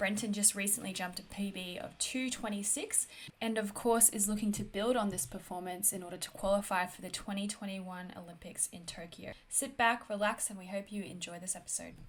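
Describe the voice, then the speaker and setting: With an Australian accent, a woman speaks at a fairly quick pace with hardly any pauses, her somewhat breathy voice fairly even in intonation but swinging widely in loudness. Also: medium pitch for a woman. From North Queensland, Australia. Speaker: podcast host. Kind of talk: casual interview; scripted intro.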